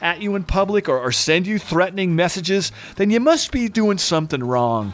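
At a moderate pace, a man speaks in a high voice. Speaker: radio host. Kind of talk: comedic radio show hosting, interview. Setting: studio.

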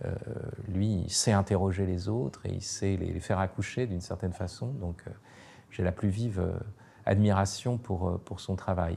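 A man speaks in a very deep, low, somewhat breathy voice with a dark, mellow tone. His pace is moderate, his intonation fairly even, and he leaves long, frequent pauses. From France. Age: 50s. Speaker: philosopher and writer. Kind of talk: interview. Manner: hesitant, many fillers.

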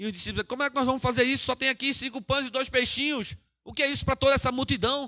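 Raised and projected, a man's extremely high voice with a bright, sharp tone races along very fast with fairly even intonation, the sound dry and close with no echo. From Pernambuco, Brazil. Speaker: pastor. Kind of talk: sermon. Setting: church livestream.

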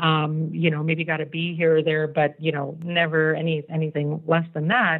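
In an American accent, a woman speaks at a moderate pace with hardly any pauses. Her very deep, low voice has a monotone, flat intonation. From Virginia, US. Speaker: technology consultant. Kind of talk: interview. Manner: hesitant with many fillers.

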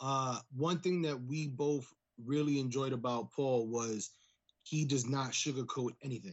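Medium in pitch with ordinary pitch variation, this man speaks in an ordinary speaking voice. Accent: American. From US Northeast. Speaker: pro wrestler. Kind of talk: casual chat.

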